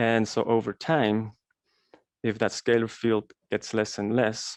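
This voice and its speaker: There is a quiet background and a dry, close sound with no echo. A man with a non-native accent and medium pitch speaks at a very slow pace. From Switzerland. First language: Swiss German. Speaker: alternative health presenter. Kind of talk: presentation. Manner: hesitant with many fillers.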